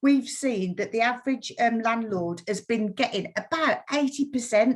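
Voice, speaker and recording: A woman speaks in a West Midlands accent at a moderate pace. Her pitch is fairly high, with ordinary pitch variation. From West Midlands, England. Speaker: mortgage lender account manager. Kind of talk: webinar presentation. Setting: online webinar.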